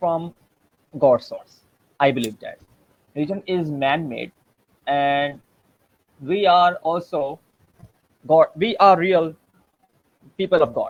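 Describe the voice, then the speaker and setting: Speaking at a very slow pace, a man has a fairly high pitch. His pitch variation is ordinary. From Pakistan. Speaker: former churchgoer sharing testimony. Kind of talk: testimony. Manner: halting.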